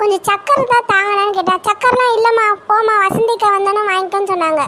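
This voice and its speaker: A woman's cartoonish character voice, pitched extremely high, moves at a moderate pace with fairly even intonation and very even loudness over clear background noise. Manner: chatty, ingratiating.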